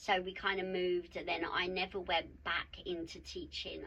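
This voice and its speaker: Speaking at a moderate pace in a South East London accent, a woman uses a medium pitch with vocal fry, a bright, sharp tone and monotone, flat intonation. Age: 50s. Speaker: mindset mentor and wellbeing coach. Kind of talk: podcast interview.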